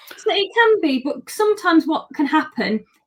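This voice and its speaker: A woman with a British accent at a moderate pace. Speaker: holistic therapist. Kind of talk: interview answers. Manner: articulate, clear.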